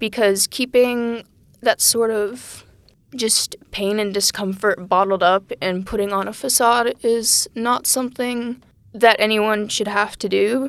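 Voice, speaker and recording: Fairly high in pitch, a woman with an American accent has a normal speaking voice. She talks at a fairly slow pace with fairly even intonation. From Texas. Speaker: college student. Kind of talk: casual chat. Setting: small room, podcast interview.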